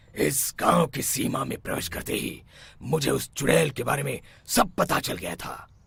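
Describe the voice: Using a cartoonish character voice, a man speaks at medium pitch and a moderate pace.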